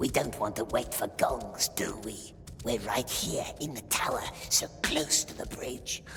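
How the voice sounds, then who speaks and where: Someone whispers in a put-on character voice at a fairly slow pace. Background noise is clearly audible. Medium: machinima. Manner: sly, childish grammar.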